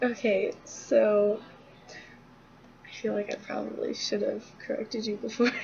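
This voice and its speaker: Mumbling at a fairly slow pace, a woman leaves long, frequent pauses against noticeable background noise. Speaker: student teaching a peer. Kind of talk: casual tutorial. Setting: dorm lobby.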